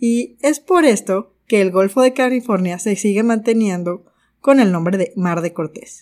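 Using a plain, everyday voice, a woman speaks at medium pitch and a fairly slow pace, with ordinary pitch variation. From Mexico. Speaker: podcast host, gemologist. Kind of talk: scripted narration.

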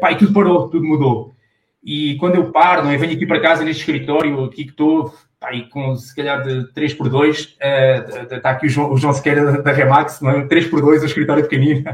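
Somewhat breathy and fairly high in pitch, a man speaks at a fairly quick pace. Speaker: sales professional and business owner. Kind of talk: casual interview. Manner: animated.

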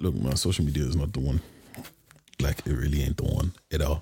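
At an extremely low pitch, a man speaks with a dark, mellow tone and a husky, rough edge, keeping a fairly quick pace and fairly even intonation.

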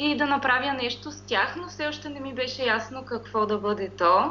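A woman speaks at a high pitch and a fairly slow pace with ordinary pitch variation. Noticeable background noise is present. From Bulgaria, Pirdop. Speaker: graphic designer. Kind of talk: interview.

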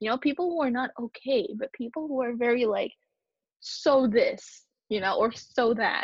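The voice is loud. It moves at a moderate pace. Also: woman, high pitch for a woman, ordinary pitch variation. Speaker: podcast co-host. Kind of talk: casual chat. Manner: loud, outgoing.

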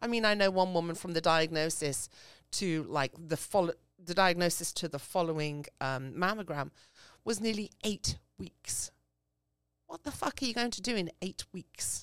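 A woman with an English accent and a fairly low voice speaks at a moderate pace with lively intonation, the sound dry and close with no echo on a very clean recording with a silent background. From England. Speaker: small business owner. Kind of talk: casual chat.

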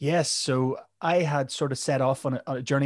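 With a Northern Irish accent, a man speaks at a medium pitch in a dry, close sound with no echo. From Northern Ireland. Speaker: mental health podcast host. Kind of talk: casual interview.

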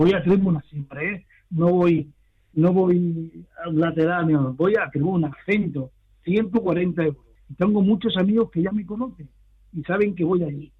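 The man's voice is high-pitched with ordinary pitch variation. He speaks at a fairly slow pace. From Barcelona. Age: 70s. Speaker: football fan. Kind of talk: interview.

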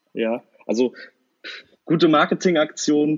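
This man has an ordinary speaking voice with fairly even intonation. The sound is dry and close, with no echo. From northern Germany, Kiel. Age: 20s. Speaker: football fan podcast guest. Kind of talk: casual chat.

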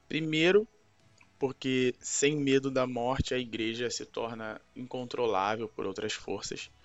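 Over music in the background, a man at medium pitch speaks at a fairly slow pace with ordinary pitch variation. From Brazil, Rio de Janeiro. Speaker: pastor. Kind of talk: scripted Bible teaching.

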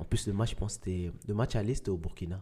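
This man's voice is somewhat breathy and dark, mellow in tone, with fairly even intonation. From Mali, then Quebec. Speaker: professional soccer player. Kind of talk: interview.

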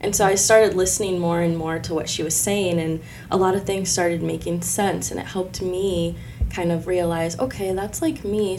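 Over background music and audible room echo, a woman with a Midwestern US accent talks at a fairly quick pace with a medium pitch and fairly even intonation. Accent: US Midwest. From Illinois, Decatur. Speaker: author and spiritual healer. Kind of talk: casual chat.

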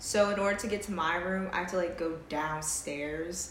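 A woman at a fairly slow pace with ordinary pitch variation, against noticeable background noise. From Jamaican heritage. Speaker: podcast co-host. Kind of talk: casual chat.

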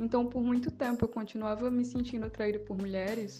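Her voice is fairly high-pitched for a woman, with a dark, mellow tone and a somewhat breathy quality. She speaks at a fairly quick pace with monotone, flat intonation. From Paraíba, northeastern Brazil. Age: 20s. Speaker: poet and communication student. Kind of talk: interview.

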